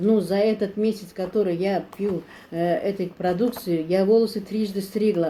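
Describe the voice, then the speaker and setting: Speaking at a moderate pace, a woman has a dark, mellow tone and fairly even intonation. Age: 60s. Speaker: product customer. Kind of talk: testimony. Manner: halting.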